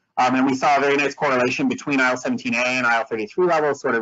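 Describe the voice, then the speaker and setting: Very fast speech from a man, with ordinary pitch variation. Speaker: immunology researcher. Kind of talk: scientific lecture. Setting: webinar. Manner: hesitant with fillers.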